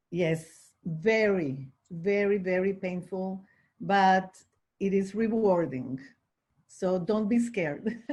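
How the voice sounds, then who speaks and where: A woman speaks with a Spanish accent, somewhat breathy. Her pace is very slow. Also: medium pitch for a woman, ordinary pitch variation. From Venezuela, Caracas. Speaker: life insurance agent. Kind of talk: online panel discussion.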